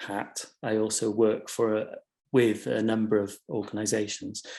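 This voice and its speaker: Speaking in a South Wales accent, the man has a fairly low pitch. His pace is fairly slow. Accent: South Wales Welsh English. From South Wales valleys (Bargoed). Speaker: curator and artist-run gallery director. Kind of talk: webinar panel presentation. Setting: online video call webinar. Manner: hesitant, many fillers.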